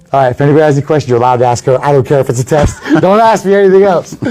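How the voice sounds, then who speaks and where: Over music in the background, a man talks at a very fast pace with a fairly high pitch and ordinary pitch variation. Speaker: podcast host and MMA fighter. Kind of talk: casual chat. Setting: live stream from a gym. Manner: loud.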